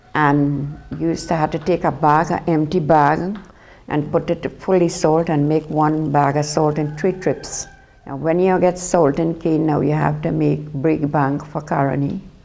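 A woman with a Trinidadian accent speaks fairly slowly at a very deep, low pitch. Her intonation is monotone and flat. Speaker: former cane cutter. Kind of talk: testimony. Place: home room. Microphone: lapel.

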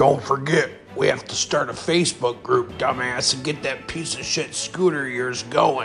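A cartoonish character voice at a moderate pace, with clear music in the background. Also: man, fairly high pitch for a man. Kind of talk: crude comedy cartoon. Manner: brash, defensive, profane.

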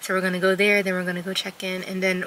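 Light background noise sits under a woman's voice, which has a dry sound with no echo. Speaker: travel vlogger. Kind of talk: casual vlog chat. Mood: relaxed, chatty. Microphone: phone near.

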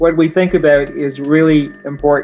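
Faint music plays in the background as a man with a fairly high pitch talks at a moderate pace. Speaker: motivational speaker. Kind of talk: interview answer. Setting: phone line. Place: home room. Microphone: video call.

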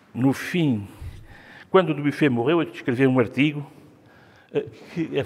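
A speaker with a European Portuguese accent talks at a fairly quick pace with ordinary pitch variation. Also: man. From Portugal. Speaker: art critic; art critic guide. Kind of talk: gallery talk. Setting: museum gallery with audience. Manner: halting. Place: hall. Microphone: lapel.

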